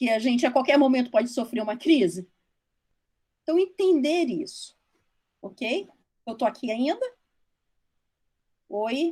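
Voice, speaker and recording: In a dark, mellow tone, the speaker uses lively intonation and leaves long, frequent pauses. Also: woman, high pitch for a woman, fairly slow pace. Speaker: social worker speaking on foster care. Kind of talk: online talk to trainees. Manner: halting, with many false starts.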